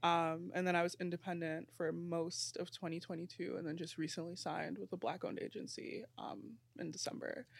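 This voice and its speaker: On a very clean recording with a silent background, a woman with vocal fry and a fairly low pitch speaks fairly quickly with lively intonation and hardly any pauses. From New York, Brooklyn. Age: 20s. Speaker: content creator. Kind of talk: casual panel discussion.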